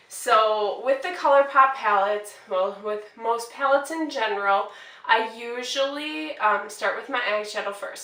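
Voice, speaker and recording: A woman with an American accent speaks at a fairly high pitch and a moderate pace, barely pausing. Her pitch varies in an ordinary way while her loudness swings widely. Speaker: beauty vlogger. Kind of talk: casual get-ready-with-me makeup tutorial. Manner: casual, hesitant with fillers.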